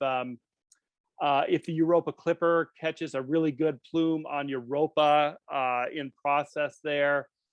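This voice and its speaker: A man speaks with a fairly high pitch. His intonation is fairly even. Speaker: planetary scientist. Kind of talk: lecture Q&A. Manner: fast.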